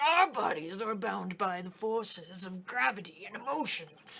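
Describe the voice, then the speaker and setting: A woman at medium pitch puts on a character voice. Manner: grumpy, pompous.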